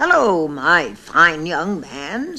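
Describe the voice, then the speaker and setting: A croaky, put-on character voice speaks at a middle pitch. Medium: read story.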